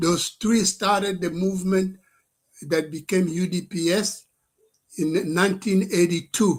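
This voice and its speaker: At a fairly slow pace, a man speaks in a high pitch with monotone, flat intonation. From DR Congo. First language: French. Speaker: professor and political activist. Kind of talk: political address to live stream audience. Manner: halting, with many fillers.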